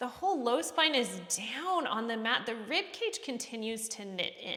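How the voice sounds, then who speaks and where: Speaking at a moderate pace, a woman with a high pitch uses lively intonation and a calm tone over noticeable background noise. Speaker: fitness instructor. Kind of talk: workout class instruction. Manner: calm, encouraging instruction.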